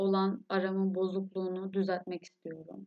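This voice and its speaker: A woman at a medium pitch. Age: 20s. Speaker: podcast host, university student. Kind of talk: solo podcast monologue. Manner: emotional.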